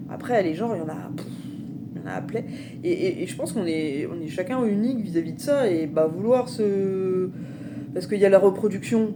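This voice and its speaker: A woman talks at a fairly quick pace with lively intonation, long, frequent pauses and big swings in loudness. Noticeable background noise and audible room echo come through. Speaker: spiritual vlogger. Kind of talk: personal testimony vlog. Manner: halting, many fillers.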